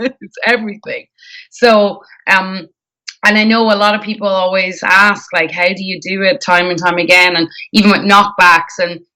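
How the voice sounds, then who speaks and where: A woman with an Irish accent speaks fairly slowly at a medium pitch, her tone bright and sharp and her intonation fairly even. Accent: Irish, often mistaken for Canadian. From Ireland. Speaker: singer. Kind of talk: interview. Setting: live stream interview.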